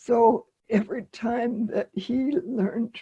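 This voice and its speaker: A woman speaks at a fairly high pitch in a somewhat breathy, dark and mellow tone, recorded dry and close with no echo. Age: 80s+. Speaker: musician and activist. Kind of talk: interview answer.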